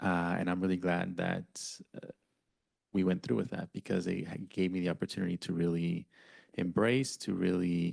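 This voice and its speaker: With a very deep, low pitch and fairly even intonation, a man speaks at a moderate pace with long, frequent pauses, his voice dry and close with no echo over a quiet background. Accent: Spanish. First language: Spanish. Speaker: board president chairing meeting. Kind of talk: public board meeting.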